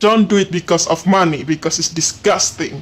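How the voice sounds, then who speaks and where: Music sits in the background while a man talks at a moderate pace. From Indonesia. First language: Indonesian. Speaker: podcast host. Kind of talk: casual chat. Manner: halting.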